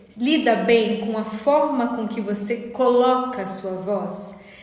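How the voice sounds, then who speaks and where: Her fairly high voice moves at a very slow pace with ordinary pitch variation. There is audible room echo and noticeable background noise around the woman. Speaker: therapist. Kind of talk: live stream talk. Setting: live stream.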